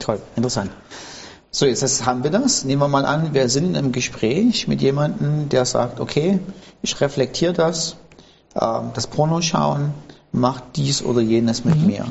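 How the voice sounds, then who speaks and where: A man's fairly high-pitched voice at a fairly slow pace, with ordinary pitch variation and noticeable background noise. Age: 50s. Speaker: pastor, podcast host. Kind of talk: casual interview.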